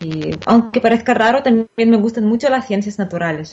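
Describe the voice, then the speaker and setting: A woman's somewhat breathy voice with a Russian accent and ordinary pitch variation. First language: Russian (speaking Spanish). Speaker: Spanish teacher. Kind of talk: interview.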